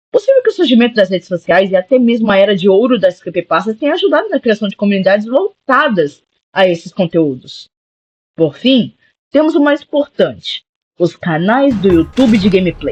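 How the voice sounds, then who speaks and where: A man's high voice moves through very wide pitch swings at a moderate pace, recorded with a dry, close sound and no echo. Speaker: gaming youtuber. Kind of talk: video essay narration.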